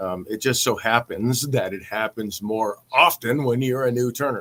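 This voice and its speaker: At a medium pitch with ordinary variation, a man speaks in a dry, close sound with no echo. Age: 50s. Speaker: woodturning teacher. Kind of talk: casual live stream talk. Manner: halting, many fillers.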